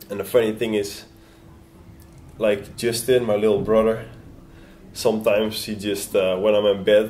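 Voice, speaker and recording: A man's fairly low-pitched voice at a moderate pace, with audible room echo. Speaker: BMX racer. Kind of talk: interview. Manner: halting.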